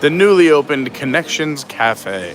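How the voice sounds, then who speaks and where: Noticeable background noise sits under the recording. The speaker is a man in an American accent. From New York (Suffolk County, Long Island). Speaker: live-stream vlogger. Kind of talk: live-stream walking tour. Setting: outdoors and indoors at a theme park.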